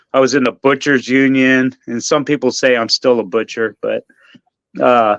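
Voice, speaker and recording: At a moderate pace, a man with a medium-pitched voice speaks in fairly even intonation, the sound dry and close with no echo. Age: 60s. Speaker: barber and Marine Corps veteran. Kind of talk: radio interview. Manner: halting, many fillers and repeats.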